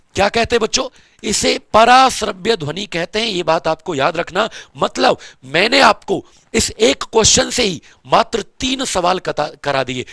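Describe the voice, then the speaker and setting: A man speaks in an animated tone at a high pitch with very wide pitch swings. The sound is dry and close, with no echo. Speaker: teacher. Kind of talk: lecture.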